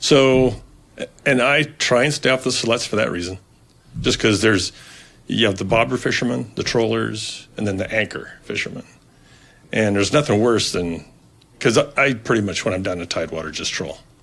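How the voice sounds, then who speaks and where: Fairly low in pitch with vocal fry, a man speaks at a moderate pace with lively intonation and long, frequent pauses. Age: 60s. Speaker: fishing guide. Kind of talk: casual chat. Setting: studio.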